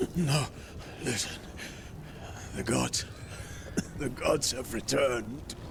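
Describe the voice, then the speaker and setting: Putting on a character voice at a medium pitch, a man speaks at a fairly slow pace with long, frequent pauses, against loud background noise. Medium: video game. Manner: halting, broken phrases.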